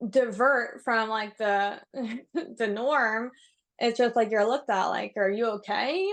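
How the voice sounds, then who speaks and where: She has a New York accent, fairly high pitch and ordinary pitch variation. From New York City. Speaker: yoga instructor and nutritionist. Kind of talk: casual chat. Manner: fast; slurred enunciation.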